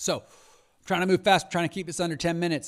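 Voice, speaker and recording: A man speaks in an animated tone. The recording is very clean with a silent background. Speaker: podcast host and rare disease advocate. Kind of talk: solo podcast news roundup. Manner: fast.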